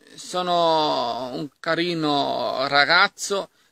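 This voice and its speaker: Fairly high in pitch, a man's voice carries a bright, sharp tone with fairly even intonation in a dry sound with no echo. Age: 20s. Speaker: young man introducing himself; self-introducing vlogger. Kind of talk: self-introduction video. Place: garden. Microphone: phone near.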